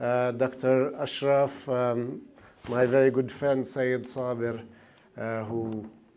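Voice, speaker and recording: Audible room echo fills the recording of a man speaking very slowly. His medium-pitched voice stays monotone, its intonation flat. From Palestine, Jerusalem. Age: 70s. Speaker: panel speaker. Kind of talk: talk. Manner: halting.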